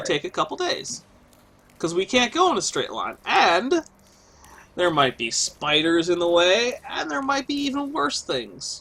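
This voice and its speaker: A man uses a put-on character voice pitched high. He talks at a moderate pace. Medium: actual play. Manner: casual, offhand.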